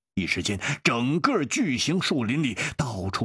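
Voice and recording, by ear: The speaker reads aloud. The voice sounds natural throughout.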